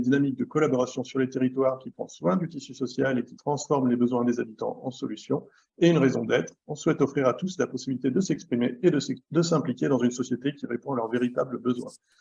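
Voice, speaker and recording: A man's medium-pitched voice with a dark, mellow tone and ordinary pitch variation, very fast and with hardly any pauses. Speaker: association member presenting a governance model. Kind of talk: online workshop presentation. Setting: video call. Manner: hesitant, many fillers and repetitions.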